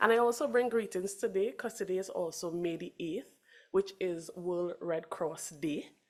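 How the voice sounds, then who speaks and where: A woman with a Trinidadian accent speaks at a medium pitch with lively intonation. The recording is very clean, its background silent. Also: moderate pace. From Trinidad and Tobago. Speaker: Red Cross representative. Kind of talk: conference remarks.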